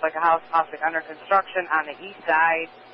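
Recorded dry with no echo over light background noise, the speech moves at a moderate pace. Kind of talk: radio dispatch call. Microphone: two way radio.

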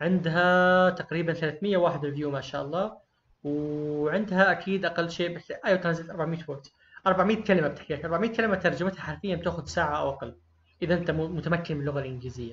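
Speaking fairly quickly, a man uses a high pitch and ordinary variation in it. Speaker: online course teacher, freelancing. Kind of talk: tutorial. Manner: conversational, encouraging.

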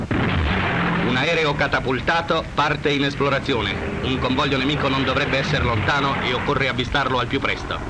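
Over loud background noise, a man speaks at a fairly quick pace, with a fairly high pitch, fairly even intonation and very even loudness. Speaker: newsreel narrator. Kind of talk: 1940s newsreel narration. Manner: formal, urgent, declamatory; brisk, dramatic, propagandistic. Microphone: old recording.

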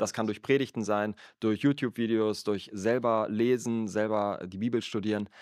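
Against a quiet background, a man speaks at a moderate pace in a fairly low, monotone voice with flat intonation. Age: 30s. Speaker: church worker and podcast co-host. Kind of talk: casual chat about faith.

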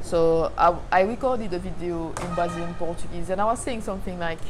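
There is noticeable background noise as a woman speaks with a French accent. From Martinique. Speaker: faith vlogger. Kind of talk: casual talk to camera. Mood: calm, earnest, reflective. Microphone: lapel.

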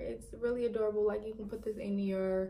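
Light background noise sits behind a woman talking at a moderate speed. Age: 20s. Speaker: beauty vlogger. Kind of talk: product review. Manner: casual, chatty. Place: home room. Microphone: phone near.

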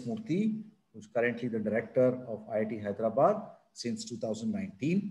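A man with an Indian accent, somewhat breathy, dark and mellow in tone, at a moderate pace with very wide pitch swings. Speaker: event moderator. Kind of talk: formal introduction. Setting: video call. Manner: halting. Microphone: video call.

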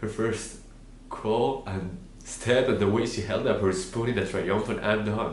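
A man speaks at a fairly slow pace with fairly even intonation and a fairly low pitch. Audible room echo and light background noise surround him. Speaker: actor. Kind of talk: dramatic monologue, a grieving father pleading with his wife. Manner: tearful and pleading, voice breaking with grief; tender, wistful reminiscing that turns to quiet heartbreak. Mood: grieving, tearful, emotional. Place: home room.

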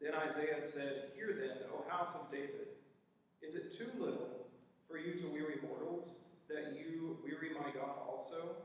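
A man's fairly high voice at a fairly slow pace, in strong room echo. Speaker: scripture reader and worship participant. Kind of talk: scripture reading. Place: church.

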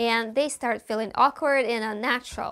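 A woman's high-pitched voice at a fairly quick pace over a quiet background. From Russia. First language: Russian. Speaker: actor. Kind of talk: vlog monologue. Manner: animated. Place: home room.

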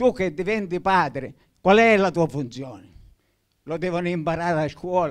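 A high-pitched man's voice with ordinary pitch variation and long, frequent pauses. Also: moderate pace, quiet background. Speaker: author; guest. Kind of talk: public talk. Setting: stage with audience. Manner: impassioned. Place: hall. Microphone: handheld.

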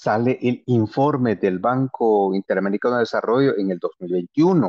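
A man talks at a fairly slow pace. His intonation is lively, and the background is quiet. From Guatemala, Maya Q'anjob'al territory. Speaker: panelist. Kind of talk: panel presentation. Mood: earnest, critical. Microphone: video call.

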